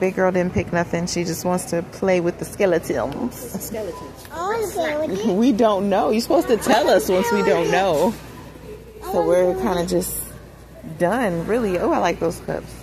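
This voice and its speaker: A woman speaks at a moderate pace in a dry sound with no echo, with clear music in the background. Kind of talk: casual vlog chat. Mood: amused, a bit wry. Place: shop. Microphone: phone near.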